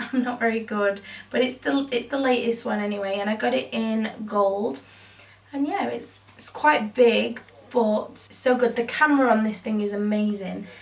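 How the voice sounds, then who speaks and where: A woman speaks at a moderate pace with a fairly high pitch and ordinary pitch variation. Noticeable background noise runs underneath. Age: 20s. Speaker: beauty youtuber. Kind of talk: casual vlog talk.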